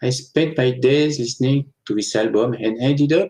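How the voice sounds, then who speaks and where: A man speaks with a French accent at a moderate pace. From France, Annecy (French Alps). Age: 40s. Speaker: author. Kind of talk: interview.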